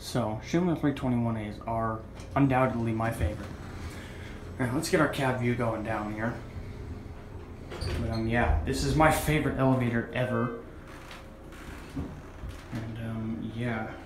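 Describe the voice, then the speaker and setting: The speech moves at a moderate pace, with long, frequent pauses and ordinary pitch variation. Noticeable background noise runs underneath. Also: man, medium pitch for a man. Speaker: elevator enthusiast. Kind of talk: casual talk to camera. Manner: whispered.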